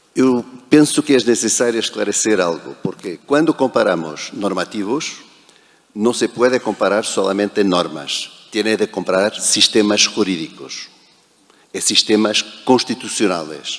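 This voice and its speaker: Speaking at a fairly slow pace in a Portuguese accent, a man uses a fairly low pitch. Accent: European Portuguese. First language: Portuguese (speaking Spanish). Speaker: protocol professional, panelist. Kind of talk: panel discussion.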